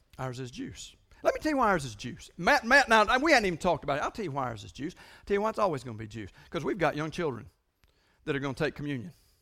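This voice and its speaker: Very fast, animated speech with very wide pitch swings and vocal fry, on a very clean recording with a silent background. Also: man, fairly high pitch for a man. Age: 50s. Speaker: pastor. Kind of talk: sermon.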